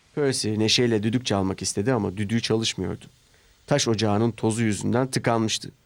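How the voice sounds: Fairly even intonation in a natural reading voice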